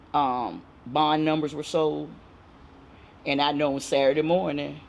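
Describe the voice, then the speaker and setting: A woman with an American accent talks at a fairly slow pace in a very deep, low pitch. Her intonation is monotone and flat, and audible room echo surrounds her voice. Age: 70s. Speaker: community elder. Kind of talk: oral history interview.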